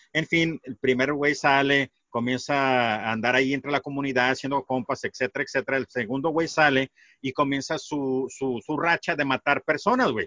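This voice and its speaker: An unremarkable speaking voice, a man's at a fairly high pitch, moderate in pace, fairly even in intonation, with hardly any pauses. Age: 40s. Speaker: podcaster. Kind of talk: casual chat.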